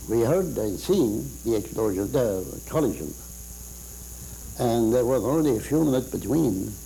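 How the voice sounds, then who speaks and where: Dark and mellow in tone, a man's medium-pitched voice with vocal fry moves at a moderate pace with long, frequent pauses, very wide pitch swings and very even loudness. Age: 80s+. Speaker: war veteran. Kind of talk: interview answer. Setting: studio.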